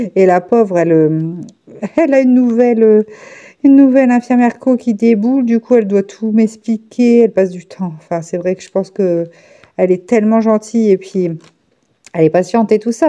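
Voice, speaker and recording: Her dark, mellow voice sits at a fairly high pitch with lively intonation. The woman shows big swings in loudness and long, frequent pauses. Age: 30s. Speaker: diamond painting vlogger and nurse. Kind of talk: casual vlog chat while crafting. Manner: fast; halting with many fillers.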